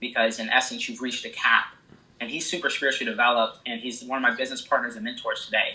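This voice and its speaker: Speaking very fast, a man talks with a Midwestern American accent. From small town in Illinois. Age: 20s. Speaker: real estate investor. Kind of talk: casual interview answer. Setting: phone line.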